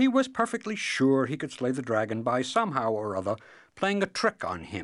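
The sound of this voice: Text read in an unforced reading voice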